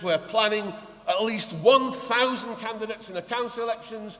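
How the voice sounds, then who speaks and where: A man talks with a high pitch. Noticeable background noise can be heard. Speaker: political rally chair and speaker, trade unionist and socialist coalition chair. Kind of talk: political rally speech.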